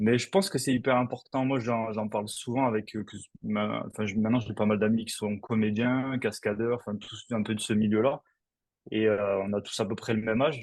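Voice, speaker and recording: A man talks at a moderate pace in a fairly low pitch, his intonation flat and monotone. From southern France. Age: 40s. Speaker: stuntman. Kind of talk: interview. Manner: hesitant, many fillers.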